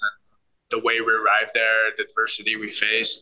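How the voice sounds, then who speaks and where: A man's voice at a moderate pace. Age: 30s. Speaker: professional soccer player. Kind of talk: interview.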